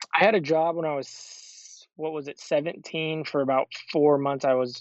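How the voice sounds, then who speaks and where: An ordinary speaking voice: a man with an American accent, fairly high pitch and fairly even intonation. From Arizona. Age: 30s. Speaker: professional disc golfer. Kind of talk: interview.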